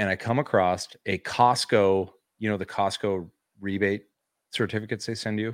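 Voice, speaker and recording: With an ordinary speaking voice, a man talks at a moderate pace and fairly low pitch, his intonation fairly even, on a very clean recording with a silent background. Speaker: toy collecting podcast co-host. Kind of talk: casual chat. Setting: livestream.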